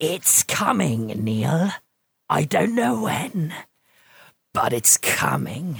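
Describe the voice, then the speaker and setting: A man talks very slowly in a raspy, put-on character voice at a medium pitch. His speech breaks into long, frequent pauses. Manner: ominous, foreboding.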